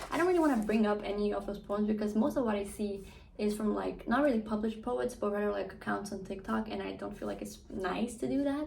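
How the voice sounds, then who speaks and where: Fairly quick pace from a woman. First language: not English (English is third language). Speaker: book vlogger. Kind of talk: casual monologue vlog. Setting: at home, hot room without fan. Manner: animated, rambling with fillers.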